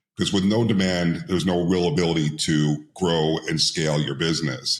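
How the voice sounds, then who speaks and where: Using vocal fry, a man with very deep, low pitch speaks at a moderate pace. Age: 60s. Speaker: entrepreneur and IPO advisor. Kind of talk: interview podcast.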